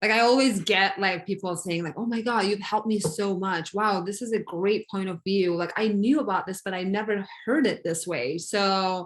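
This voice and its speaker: A woman speaks at a moderate pace with hardly any pauses. Her medium-pitched voice has ordinary pitch variation. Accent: non-native. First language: not English. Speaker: coaching client. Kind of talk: coaching session. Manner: halting.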